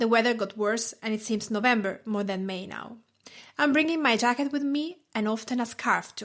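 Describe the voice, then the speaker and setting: A woman at a fairly high pitch and moderate pace, with lively intonation, on a very clean recording with a silent background. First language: Italian. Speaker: food blogger and podcast host. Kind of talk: podcast talk.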